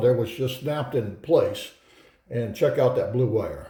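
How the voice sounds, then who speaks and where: A man speaks at a moderate pace, and audible room echo is present. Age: 70s. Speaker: war veteran. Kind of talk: tutorial; casual talk to camera. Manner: casual, hesitant with fillers.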